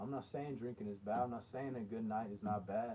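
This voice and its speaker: This man's voice has a dark, mellow tone and medium pitch, delivered at a moderate pace. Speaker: motivational livestreamer. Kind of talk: motivational talk. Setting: livestream. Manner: not speaking loud.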